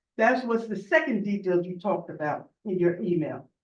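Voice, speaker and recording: A loud woman at a moderate pace. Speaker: borough council member. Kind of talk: council meeting statement. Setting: public council meeting.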